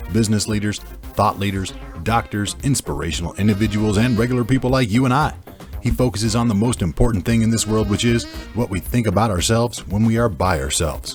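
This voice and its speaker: Over music in the background, a man with a fairly low pitch speaks very fast in an upbeat tone, his intonation lively and his loudness very even. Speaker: voice actor. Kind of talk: podcast promo read.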